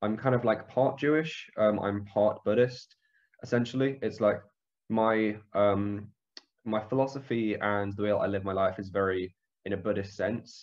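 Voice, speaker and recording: Against a quiet background, a man with a London accent and fairly low pitch speaks at a fairly slow pace with lively intonation. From northwest London, England. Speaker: podcast guest. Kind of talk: casual interview chat. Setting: phone or video call.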